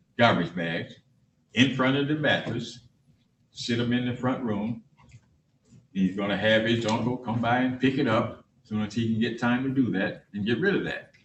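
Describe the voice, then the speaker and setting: A somewhat breathy man speaks with ordinary pitch variation and long, frequent pauses. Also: medium pitch for a man, moderate pace. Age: 80s+. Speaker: party in a court case. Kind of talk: court hearing testimony.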